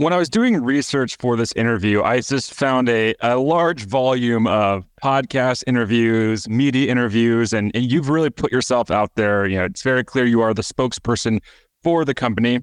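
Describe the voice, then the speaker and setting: A man speaks in a plain, everyday voice at a moderate pace and medium pitch, with ordinary pitch variation and very even loudness. There are hardly any pauses, and the sound is dry and close with no echo. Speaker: podcast host. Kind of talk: interview.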